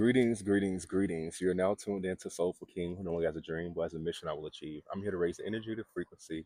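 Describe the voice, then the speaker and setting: A man with an American accent talks at a very fast pace with hardly any pauses, his pitch very deep and low. His tone is dark and mellow, his intonation fairly even, and the sound dry and close with no echo. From Florida. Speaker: spiritual healer. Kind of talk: spiritual message monologue. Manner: hesitant filler-heavy.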